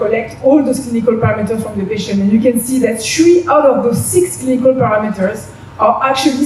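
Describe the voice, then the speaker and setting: Talking at a fairly quick pace with a French accent, a woman has a fairly high pitch and ordinary pitch variation, with noticeable background noise and audible room echo. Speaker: business development head at a diagnostics company. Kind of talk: conference presentation.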